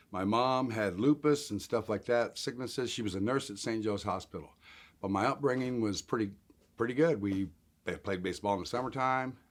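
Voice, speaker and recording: A man with a normal speaking voice, medium pitch, ordinary pitch variation and a fairly quick pace. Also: very clean recording, silent background. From Colorado (Denver area). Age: 60s. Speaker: interviewee sharing life story of homelessness. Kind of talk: interview testimony.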